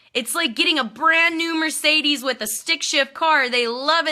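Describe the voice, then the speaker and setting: Over a silent background in a very clean recording, a woman speaks at a moderate pace in an animated, bright and sharp tone. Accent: North Dakota. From North Dakota, Minot. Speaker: network marketing team leader. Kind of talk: live video pep talk.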